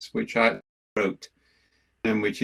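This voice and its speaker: A man speaks with a Welsh accent at a moderate pace. The sound is dry and close, with no echo. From Wales. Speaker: management consultant and researcher. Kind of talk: lecture.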